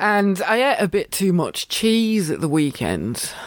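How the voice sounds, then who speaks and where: A woman speaks at a very slow pace with an English accent, a medium pitch and very wide pitch swings. The recording is very clean, with a silent background. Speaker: yoga teacher and podcast host. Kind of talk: casual solo chat. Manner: rambling with many fillers.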